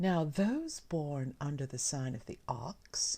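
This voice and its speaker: A soft-spoken woman's voice, somewhat breathy, with a dark, mellow tone, very deep, low pitch and very wide pitch swings. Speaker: ASMR reader. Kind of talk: ASMR soft-spoken reading. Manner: quiet.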